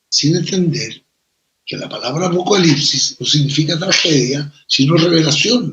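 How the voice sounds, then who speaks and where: Here a man is speaking. His pace is fairly slow. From Chile. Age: 70s. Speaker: writer and poet. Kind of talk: interview.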